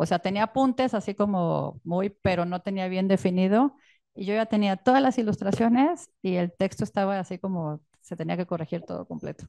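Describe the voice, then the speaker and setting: A woman with a Mexican accent speaks at a moderate pace in a dark, mellow tone. The background is quiet and the sound is dry with no echo. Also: medium pitch for a woman, ordinary pitch variation. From Mexico. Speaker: illustrator and author. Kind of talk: book presentation talk. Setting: stage with audience. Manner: halting. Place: tent.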